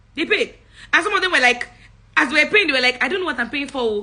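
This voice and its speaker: A woman speaks in a raised, projected voice with a bright, sharp tone. Her high pitch swings very widely. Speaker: public speaking coach. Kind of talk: live-stream talk. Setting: livestream. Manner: animated.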